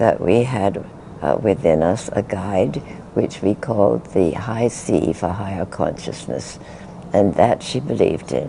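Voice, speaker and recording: A woman with a British accent speaks at a fairly slow pace with lively intonation. Noticeable background noise runs underneath. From England. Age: 80s+. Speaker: spiritual teacher. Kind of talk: interview answer.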